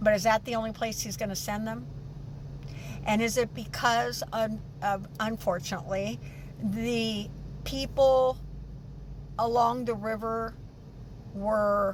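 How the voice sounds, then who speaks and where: A woman with an American accent speaks fairly slowly in a fairly high, somewhat breathy voice with ordinary pitch variation and long, frequent pauses, and the room echo is audible. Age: 70s. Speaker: vlogger. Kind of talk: personal vlog monologue. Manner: halting.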